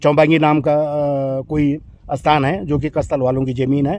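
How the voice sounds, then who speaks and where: Here a man speaks with a fairly high pitch. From Uttarakhand, Garhwal hills. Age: 60s. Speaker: local villager. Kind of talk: storytelling interview. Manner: halting.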